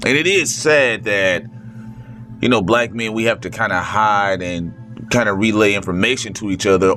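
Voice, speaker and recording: A man with ordinary pitch variation amid noticeable background noise. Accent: American. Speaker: vlogger. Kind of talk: casual monologue. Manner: slow.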